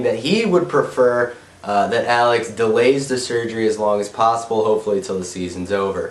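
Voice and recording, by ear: Nasal speech comes through with audible room echo. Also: man.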